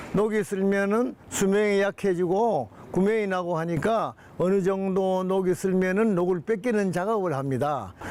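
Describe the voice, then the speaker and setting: A man's high-pitched voice at a fairly slow pace, with ordinary pitch variation and very even loudness. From Busan, Korea (Yeongdo). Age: 80s+. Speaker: elderly village resident. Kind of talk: interview.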